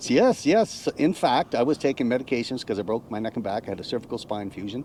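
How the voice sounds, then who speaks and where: A man speaks very fast at a medium pitch with a Cape Breton accent. His tone is dark and mellow. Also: ordinary pitch variation. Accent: Canadian Maritime (Cape Breton). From Cape Breton Island, Nova Scotia, Canada. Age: 60s. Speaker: retired navy veteran, RV nomad. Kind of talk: casual interview chat.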